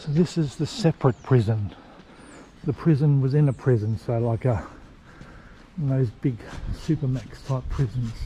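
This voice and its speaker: Whispering in an Australian accent, a man speaks at a moderate pace. He leaves long, frequent pauses. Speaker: travel vlogger. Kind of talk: casual walking vlog narration. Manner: casual with fillers.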